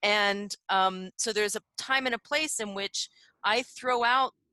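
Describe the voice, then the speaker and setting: Ordinary pitch variation runs through a bright, sharp tone, recorded dry and close with no echo. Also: woman, quiet background. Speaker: theater researcher, workshop panelist. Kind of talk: online workshop discussion. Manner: halting, many fillers and repeats.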